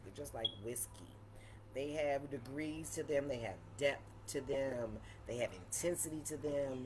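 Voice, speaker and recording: A woman speaks in an animated tone at a fairly slow pace. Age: 50s. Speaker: cooking host. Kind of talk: casual livestream wine tasting.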